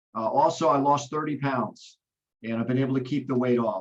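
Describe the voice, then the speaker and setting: This is an ordinary speaking voice at a fairly quick pace. The intonation stays fairly even. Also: man. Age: 60s. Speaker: network marketing trainer. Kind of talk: business training on video call. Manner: frequent fillers (uh).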